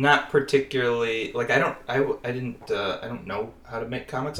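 A man with an American accent has an ordinary speaking voice at a medium pitch. He talks at a fairly quick pace with fairly even intonation. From Northwest Indiana, US Midwest. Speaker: comic artist. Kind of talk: casual interview.

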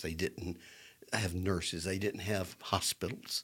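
The speech carries an Alabama accent. Its pace is fairly slow. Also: man. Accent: US Southern (Alabama). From Birmingham, Alabama. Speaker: lawyer and political figure. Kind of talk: casual interview chat.

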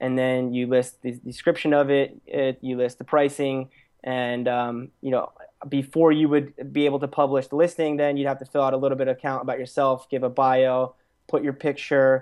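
An American man speaks at a moderate pace and medium pitch, in a monotone with flat intonation. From Pennsylvania, Lehigh Valley. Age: young. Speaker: startup co-founder. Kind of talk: interview. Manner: hesitant with fillers.

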